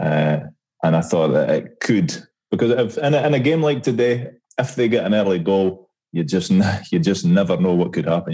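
A man's dark, mellow voice in a Scottish accent, moderate in pace, with very wide pitch swings and very even loudness. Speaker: podcast co-host. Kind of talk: casual chat.

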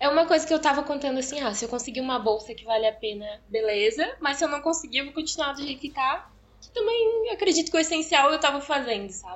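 A woman with a high pitch talks at a very fast pace, her pitch swinging very widely and her loudness swinging widely too. Noticeable background noise is present. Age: 20s. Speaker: medical student, former nursing student. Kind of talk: interview, personal story.

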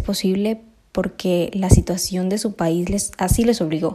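A woman of medium pitch speaks in a dark, mellow tone with a strong Colombian accent. The recording is very clean, with a silent background. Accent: Colombian, still strong. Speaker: podcast host. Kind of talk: personal reflective monologue.

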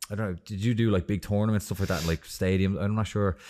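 The recording is very clean and the background silent. A man talks in an Irish accent. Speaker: podcast host. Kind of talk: casual interview. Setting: in person at a gym.

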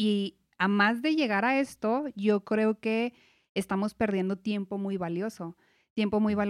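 In a very clean recording with a silent background and a dry, close sound with no echo, a woman with a normal speaking voice and a fairly high pitch talks at a fairly slow pace. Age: 30s. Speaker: financial advisor. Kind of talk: casual chat.

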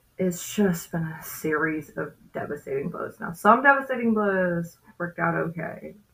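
This woman has a fairly low pitch. She talks at a moderate pace. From US South, West Memphis, Arkansas. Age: 30s. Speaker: comedian. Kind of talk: casual interview. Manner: animated.

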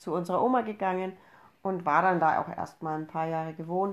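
With an unremarkable speaking voice, a woman talks at a moderate pace and fairly low pitch, with fairly even intonation, over a quiet background. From Upper Franconia, Bavaria. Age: 30s. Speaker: podcast host, mother. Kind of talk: casual chat.

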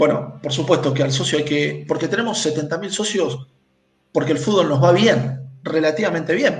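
Audible room echo around a man with a fairly high pitch, his pace moderate. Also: ordinary pitch variation. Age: 40s. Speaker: football club presidential candidate. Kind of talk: interview.

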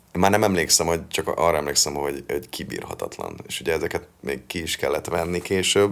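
A man speaks with a very deep, low pitch. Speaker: metal singer and songwriter. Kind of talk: interview.

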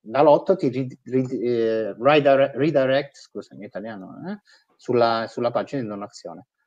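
A man with an unremarkable speaking voice, medium pitch, ordinary pitch variation, fairly slow pace, and big swings in loudness. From Italy. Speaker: nonprofit digital and fundraising executive. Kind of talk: interview.

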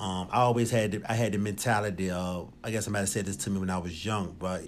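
Over audible room echo, a man with an American accent talks very fast at a fairly low pitch. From Richmond, Virginia. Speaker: former prisoner in recovery. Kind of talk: testimony.

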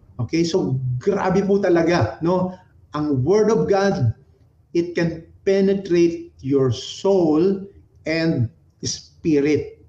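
A very slow delivery with ordinary pitch variation and very even loudness. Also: man, high pitch for a man. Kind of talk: sermon. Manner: animated, exhortative, call-and-response; warm, conversational, Taglish.

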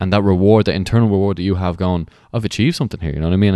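Speaking at a very fast pace with an Irish accent, a man with a fairly low pitch and ordinary pitch variation comes through on a very clean recording against a silent background. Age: 20s. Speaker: podcast host. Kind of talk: casual interview chat.

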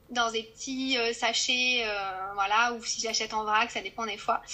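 A woman's voice sits high in pitch and varies in an ordinary way. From France, Corrèze. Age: 30s. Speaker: zero-waste shop owner. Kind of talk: podcast interview.

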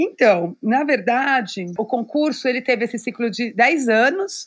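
A woman talks at a fairly slow pace with ordinary pitch variation and an unremarkable speaking voice. The recording is very clean, with a silent background. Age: 40s. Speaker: fashion designer and inclusive fashion educator. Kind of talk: interview.

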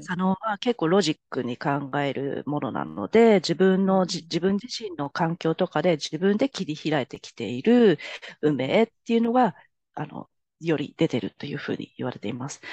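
A woman's fairly low voice with vocal fry, a dark, mellow tone, very wide pitch swings and big swings in loudness, at a moderate pace, in a dry, close sound with no echo over a quiet background. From Japan, Tokyo. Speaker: palm reader. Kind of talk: casual interview chat.

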